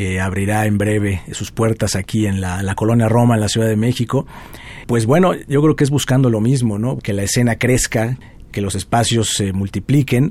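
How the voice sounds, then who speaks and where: With an ordinary speaking voice, a man talks at a moderate pace and medium pitch, with ordinary pitch variation. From Mexico, Puebla. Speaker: guitarist. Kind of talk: interview.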